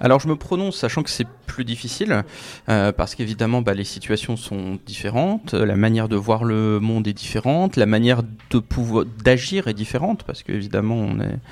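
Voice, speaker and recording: A man's medium-pitched voice at a moderate pace. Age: 30s. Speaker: author and climate blogger. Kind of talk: interview. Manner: hesitant with many fillers.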